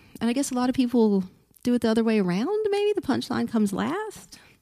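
The speech moves at a fairly quick pace with an American accent. The pitch swings very widely over a dark, mellow tone. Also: woman. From Texas, Port Arthur (southeast, near Louisiana). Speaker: stand-up comedian. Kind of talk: casual chat. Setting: studio. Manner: expressive.

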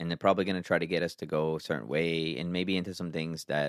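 A man speaks at a very fast pace in a very deep, low pitch. His voice carries vocal fry. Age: 40s. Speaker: podcast host. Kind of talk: solo commentary podcast. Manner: casual.

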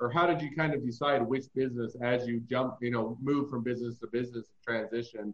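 A man speaks at a fairly quick pace with fairly even intonation. Noticeable background noise runs behind him. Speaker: podcast host and patent lawyer. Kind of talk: interview.

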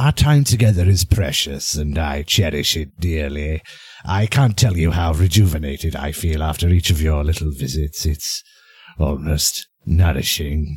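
Very deep, low pitch from a male speaker, ordinary pitch variation, and a moderate pace. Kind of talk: horror anthology narration. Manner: soft, sinister, wry.

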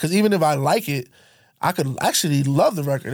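Very fast speech with lively intonation, in an American accent. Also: man. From Connecticut. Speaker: DJ. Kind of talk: casual chat.

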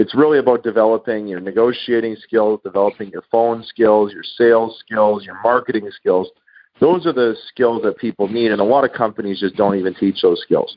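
With a Canadian accent, a man has a plain, everyday voice at a medium pitch and ordinary pitch variation. His pace is fairly quick, and his loudness swings widely. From Canada, Manitoba. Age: 30s. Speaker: real estate investor and author. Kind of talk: interview.

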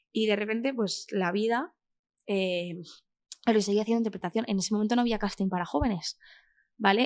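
A woman has an ordinary speaking voice. Her pitch is fairly high. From Spain, Castellón (Valencia region). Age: 20s. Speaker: actress. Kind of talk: casual interview chat.

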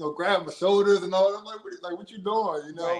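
A man talks with an American accent. His pitch sits high. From Washington DC. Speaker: reality dating show contestant. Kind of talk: casual interview. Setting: online live stream.

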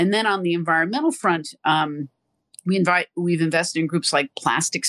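A woman speaks at a moderate pace with a New York accent and a bright, sharp tone. The background is quiet, and the sound is dry and close with no echo. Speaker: corporate sustainability executive. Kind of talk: interview.

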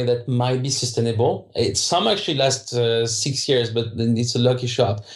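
A man with a French accent, somewhat breathy, at a medium pitch and a moderate pace. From France, southern suburbs of Paris. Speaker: video game entrepreneur. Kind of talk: interview. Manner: halting, many repetitions.

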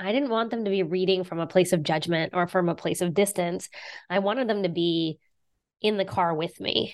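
Over a quiet background, a woman with a plain, everyday voice talks at a fairly quick pace, her medium pitch showing ordinary variation. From southern West Virginia. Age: 40s. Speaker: author and teacher. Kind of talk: interview.

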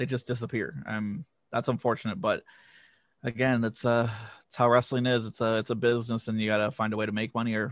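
Speaking at a fairly quick pace with long, frequent pauses, a man keeps his intonation fairly even at a medium pitch. The background is quiet. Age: 30s. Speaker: wrestling vlogger. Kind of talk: casual chat.

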